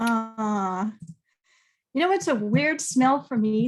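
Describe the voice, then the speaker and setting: Music plays in the background as a woman with a fairly high pitch speaks slowly-ish, at a fairly slow pace, using lively intonation. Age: 70s. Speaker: workshop facilitator. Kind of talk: online training session discussion. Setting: video call.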